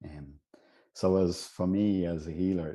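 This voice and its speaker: A man with an Irish accent, very deep, low pitch and dark, mellow tone, against a quiet background. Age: 60s. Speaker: healer. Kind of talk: interview.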